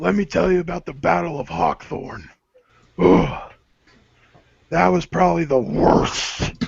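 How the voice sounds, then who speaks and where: A man uses a put-on character voice at a medium pitch, with very wide pitch swings. He talks at a fairly slow pace with long, frequent pauses. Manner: bragging, gruff.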